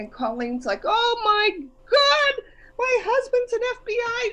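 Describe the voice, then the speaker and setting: Over noticeable background noise, a woman speaks in an animated tone with very wide pitch swings. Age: 60s. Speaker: guest lecturer. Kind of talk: casual talk on a group call.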